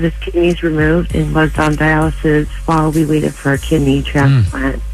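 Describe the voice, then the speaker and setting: Music in the background behind a woman talking at a moderate pace. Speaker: mother of a kidney transplant patient, radio caller. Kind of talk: radio listener phone call, telling a story.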